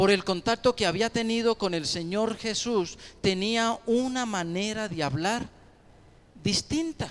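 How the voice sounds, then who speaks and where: With lively intonation, the speaker goes at a very slow pace, leaving long, frequent pauses. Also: man. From Colombia, Ocaña (Norte de Santander). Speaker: pastor. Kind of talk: sermon.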